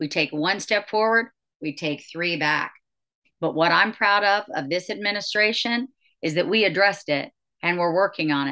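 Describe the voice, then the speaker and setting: A woman's bright, sharp voice at a moderate pace, against a quiet background. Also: medium pitch for a woman, ordinary pitch variation. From West Virginia. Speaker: mayor. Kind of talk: interview. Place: office. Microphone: video call.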